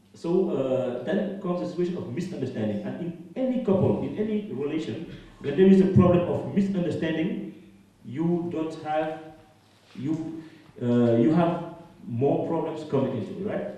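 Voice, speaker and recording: A man with a French accent and fairly high pitch, lively intonation at a moderate pace, amid audible room echo and noticeable background noise. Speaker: activist and musician. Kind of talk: panel discussion. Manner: halting, hesitant.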